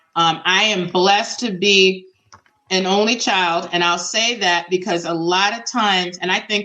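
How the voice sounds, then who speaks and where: An ordinary speaking voice with an American accent. It moves at a fairly slow pace with fairly even intonation. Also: woman. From Boston, Massachusetts. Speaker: minister and author. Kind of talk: interview conversation.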